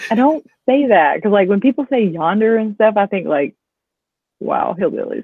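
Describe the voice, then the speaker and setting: A woman with a slight Southern US accent talks at a moderate pace with lively intonation. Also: fairly high pitch for a woman. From US South, Alabama. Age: 30s. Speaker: reseller and online seller. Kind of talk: casual chat. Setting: livestream.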